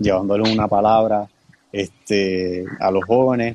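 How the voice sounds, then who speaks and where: A man talks at a fairly slow pace in an unremarkable speaking voice. His pitch is medium and his intonation fairly even. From Puerto Rico. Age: 20s. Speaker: young church leader. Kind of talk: casual chat.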